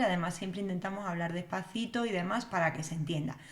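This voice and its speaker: The intonation is lively. The pace is fairly quick. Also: woman. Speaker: developer educator. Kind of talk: live stream tutorial. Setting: live stream. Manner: casual, many fillers. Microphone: new computer setup, mic may not sound right.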